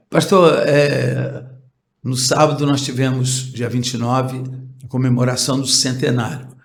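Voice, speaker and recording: Monotone and flat, a man of medium pitch speaks at a fairly slow pace with vocal fry and big swings in loudness, with audible room echo around him. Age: 70s. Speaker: pastor. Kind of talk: interview. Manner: halting.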